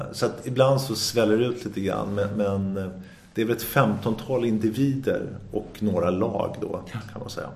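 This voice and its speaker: There is noticeable background noise and audible room echo. A man speaks in a fairly low voice at a moderate pace. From Sweden, Sundbyberg. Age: 50s. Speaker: entrepreneur. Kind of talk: interview. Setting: office. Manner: energetic; halting.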